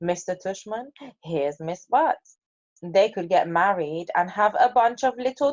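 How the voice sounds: A natural reading voice with lively intonation is heard against a quiet background.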